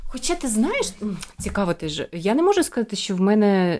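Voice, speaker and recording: With a dark, mellow tone and lively intonation, a woman at medium pitch speaks at a fairly quick pace on a very clean recording with a silent background. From Ukraine, Mykolaiv. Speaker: podcast co-host. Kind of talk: casual chat.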